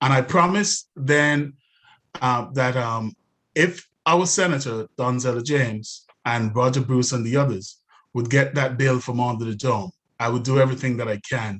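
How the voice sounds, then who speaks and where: The man's pitch is medium and varies in an ordinary way. His pace is moderate. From outside the US. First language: not English. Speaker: city council candidate. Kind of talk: candidate forum speech. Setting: live-streamed webinar. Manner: hesitant, many fillers.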